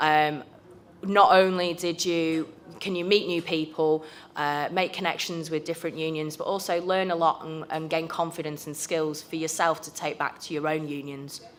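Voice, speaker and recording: A woman with a British accent speaks at a moderate pace in a fairly low voice. Her intonation is monotone and flat, while her loudness swings widely. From United Kingdom. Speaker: trade union youth member. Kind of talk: conference presentation.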